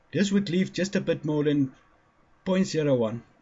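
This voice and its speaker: The speaker has a non-native accent and sounds somewhat breathy. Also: man. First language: not English. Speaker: independent physics theorist. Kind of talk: lecture. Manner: halting, stumbling over words.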